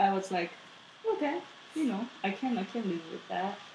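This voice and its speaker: There is noticeable background noise as a woman speaks with a Japanese accent. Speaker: podcast guest, host's partner. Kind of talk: casual chat.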